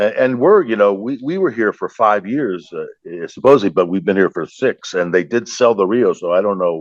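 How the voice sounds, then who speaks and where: A man with a fairly low pitch speaks at a fairly quick pace with hardly any pauses. His intonation is lively, and the sound is dry and close with no echo. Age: 60s. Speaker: stand-up comedian. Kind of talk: casual chat. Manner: halting.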